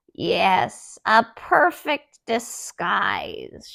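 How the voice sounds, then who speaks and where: A raspy, croaky, female-sounding put-on character voice, high-pitched with very wide pitch swings, on a very clean recording with a silent background. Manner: cackling, gleeful.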